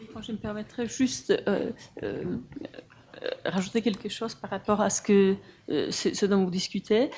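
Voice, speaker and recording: This woman has a strong non-native accent and a medium pitch. She talks at a moderate pace with ordinary pitch variation. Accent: non-native French, fairly strong. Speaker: audience member, social worker at an association. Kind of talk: Q&A question from the floor. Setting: conference hall. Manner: halting, many hesitations.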